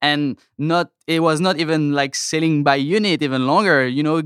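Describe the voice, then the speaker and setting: Speaking with a French accent at a fairly high pitch, a man keeps a moderate pace with ordinary pitch variation and hardly any pauses. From France. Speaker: toy company sales representative. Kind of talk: casual interview. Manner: hesitant, many fillers.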